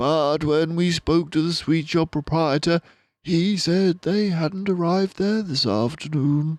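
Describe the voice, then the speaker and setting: A man speaks in a put-on character voice, high-pitched and fairly slow, against a quiet background. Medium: read story. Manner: hesitant, halting.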